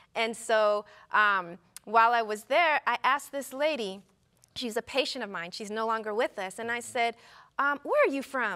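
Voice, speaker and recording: Against a quiet background, a woman with an American accent talks at a moderate pace in a bright, sharp tone with ordinary pitch variation. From US West. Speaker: physician; talk show guest. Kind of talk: casual chat. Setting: studio. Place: studio. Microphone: lapel.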